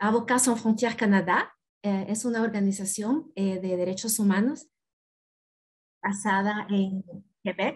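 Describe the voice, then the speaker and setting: A woman's somewhat breathy voice at a medium pitch, moderate pace and fairly even intonation, with long, frequent pauses. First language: Spanish. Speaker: country director of a human rights organization. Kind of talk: panel introduction.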